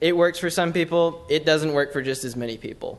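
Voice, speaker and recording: In a plain, everyday voice, a man talks at a fairly quick pace with fairly even intonation. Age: 20s. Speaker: public commenter, student. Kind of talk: public comment at council meeting. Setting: city council chamber.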